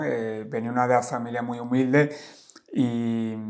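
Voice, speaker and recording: A man speaks in a monotone, flat voice at a medium pitch. Noticeable background noise can be heard. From Spain, Valladolid. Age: 50s. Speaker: life coach and traveler. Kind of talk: casual interview conversation. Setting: in-person podcast conversation. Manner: hesitant, many fillers.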